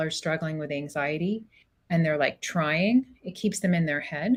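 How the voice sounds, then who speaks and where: A woman with a fairly low pitch. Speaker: psychologist. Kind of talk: interview conversation. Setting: podcast recording. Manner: fast.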